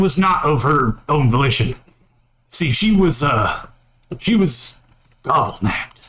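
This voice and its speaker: Putting on a character voice, a man speaks at a fairly high pitch and a fairly slow pace, with long, frequent pauses. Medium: actual play. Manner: earnest.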